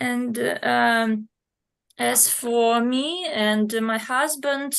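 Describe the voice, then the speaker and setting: Very slowly, a woman with a fairly high pitch speaks in a Russian accent. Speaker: language student. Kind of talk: online language lesson. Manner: halting, many hesitations.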